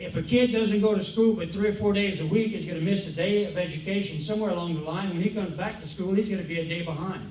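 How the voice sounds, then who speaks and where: A high-pitched man talks at a fairly quick pace with ordinary pitch variation, amid audible room echo and noticeable background noise. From Louisiana, Cajun country (Eunice). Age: 70s. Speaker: school board candidate, city councilman, military veteran. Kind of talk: candidate forum answer. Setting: public forum on a college campus with audience. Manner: halting, with repetitions and fillers.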